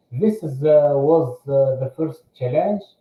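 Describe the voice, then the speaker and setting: A man speaks fairly slowly in a fairly high voice with a dark, mellow tone. His pitch varies in an ordinary way. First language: French. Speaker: aircraft maintenance engineer. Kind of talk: interview. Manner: halting, many fillers.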